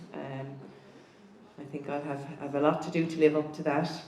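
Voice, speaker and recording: In a southern Irish accent, a woman speaks with a very deep, low pitch. Noticeable background noise and audible room echo fill the recording. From southeast Ireland. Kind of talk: talk to a conference audience. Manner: halting.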